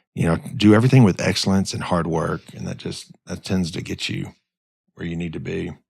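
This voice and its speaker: A man with an Arkansas accent, very deep and low in pitch, lively intonation, fairly quick pace. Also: big swings in loudness. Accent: US Southern (Arkansas). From Arkansas, North Little Rock. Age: 60s. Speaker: business owner. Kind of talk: podcast interview. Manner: halting, many repeated words.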